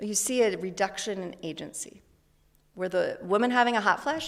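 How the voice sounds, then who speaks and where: A woman's medium-pitched voice with vocal fry, at a fairly quick pace. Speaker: psychology researcher. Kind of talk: lecture.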